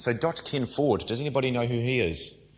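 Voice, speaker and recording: In a New Zealand accent, a man talks at a fairly quick pace with a bright, sharp tone, in a very clean recording with a silent background. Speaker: nutrition coach and firefighter. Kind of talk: lecture. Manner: fast; informal, interactive.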